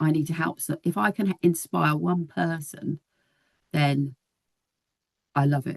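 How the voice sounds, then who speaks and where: A woman with a British accent speaks fairly slowly in a very deep, low pitch, with vocal fry, ordinary pitch variation and long, frequent pauses. The sound is dry and close, with no echo. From UK. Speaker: nurse. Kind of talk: casual chat.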